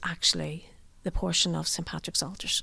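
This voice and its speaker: The intonation is monotone and flat, with a Northern Irish accent. The recording is very clean, with a silent background. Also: woman. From Northern Ireland. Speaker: tour guide, former barrister. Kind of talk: guided tour talk. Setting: inside a church on location.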